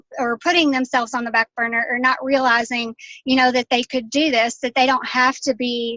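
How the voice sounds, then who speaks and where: A woman with a Southern US accent speaks at a moderate pace in a high, bright, sharp voice with fairly even intonation, the sound dry and close with no echo. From Kentucky. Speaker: health and fitness coach. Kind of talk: casual testimony.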